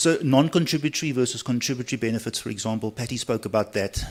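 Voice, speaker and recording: The man talks at a very fast pace with a medium pitch. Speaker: pensions actuary. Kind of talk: conference talk.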